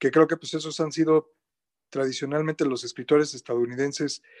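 Speaking at a very fast pace with a Mexico City accent, a man comes through in a dry, close sound with no echo and a quiet background. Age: 50s. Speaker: writer, editor and translator. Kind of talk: radio interview.

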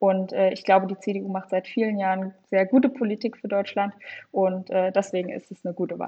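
Speaking at a moderate pace, a woman uses a plain, everyday voice at a medium pitch, her intonation fairly even. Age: 20s. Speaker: young party politician and legal staffer. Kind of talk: political interview.

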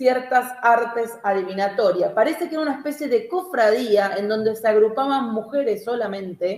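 With lively intonation, a woman speaks in a Rioplatense accent. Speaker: podcast co-host. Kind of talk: casual livestream chat.

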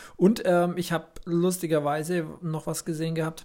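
This voice is somewhat breathy. The man takes his time, talking fairly slowly. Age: 30s. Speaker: podcast co-host. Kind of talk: casual chat. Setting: home recording studio.

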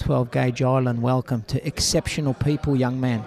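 Recorded with a dry, close sound with no echo and noticeable background noise, a man with an Australian accent speaks at medium pitch and a moderate pace with fairly even intonation. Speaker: podcast host and interviewer. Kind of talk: casual interviews. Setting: backstage at a boxing event.

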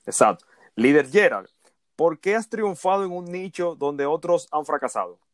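The recording is very clean with a silent background and a dry, close sound with no echo. The voice moves at a moderate pace with ordinary pitch variation. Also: man, high pitch for a man. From Dominican Republic. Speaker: podcast host, digital marketing consultant. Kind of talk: interview.

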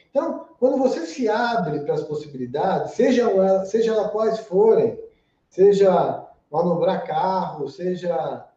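Amid audible room echo, a man speaks at a fairly slow pace in a high voice with lively intonation. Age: 30s. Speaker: TV presenter and internet video pioneer. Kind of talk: casual interview chat. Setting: live-streamed podcast studio.

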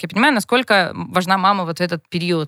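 Heard in a dry, close sound with no echo, a woman at medium pitch talks at a very fast pace with ordinary pitch variation. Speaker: TV producer and blogger, mother of four. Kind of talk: casual chat. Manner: animated.

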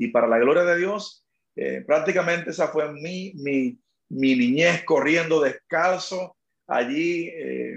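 A man speaks at a very slow pace. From Dominican Republic, rural east. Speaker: pastor. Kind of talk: testimony interview. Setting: live stream interview.

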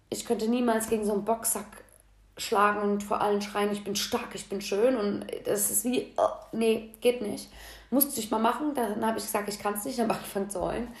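Audible room echo carries a woman's fairly high, monotone, flat voice as she talks at a fairly quick pace. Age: 30s. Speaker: podcast host. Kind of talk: casual monologue. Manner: casual, chatty.

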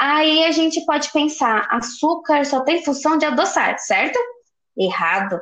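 A woman's high-pitched voice with very wide pitch swings at a fairly slow pace. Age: 20s. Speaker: university student. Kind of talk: scripted educational podcast.

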